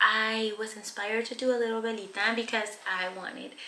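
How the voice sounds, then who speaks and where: A woman speaks softly at a fairly high pitch. Noticeable background noise is present. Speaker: painting tutorial host. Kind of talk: painting tutorial talk. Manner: soft-spoken.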